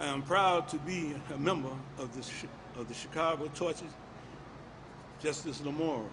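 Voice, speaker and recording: A man speaks with fairly even intonation and long, frequent pauses. Room echo is audible. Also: fairly high pitch for a man, moderate pace. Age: 70s. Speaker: torture survivor, activist. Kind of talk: testimony, reading a statement. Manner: halting.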